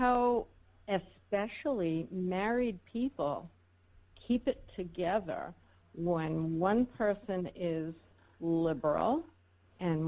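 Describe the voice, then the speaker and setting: A woman with a New York accent speaks at a very slow pace, with long, frequent pauses. Her pitch makes very wide swings. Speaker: political talk show co-host. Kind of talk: casual chat.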